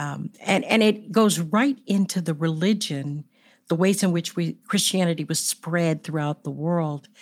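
A woman with an American accent speaks at a fairly slow pace in an ordinary speaking voice with ordinary pitch variation. The recording is very clean, with a silent background. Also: fairly low pitch for a woman. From United States, Gullah country. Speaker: podcast co-host. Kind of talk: interview.

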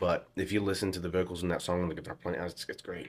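Words come at a very fast pace in a monotone, flat delivery. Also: man. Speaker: singer-songwriter. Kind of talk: casual chat.

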